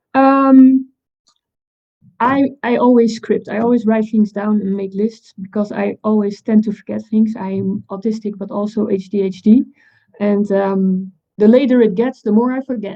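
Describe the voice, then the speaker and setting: With a Dutch accent, a woman speaks at a moderate pace and fairly high pitch, her intonation fairly even. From Netherlands. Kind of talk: panel talk. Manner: halting.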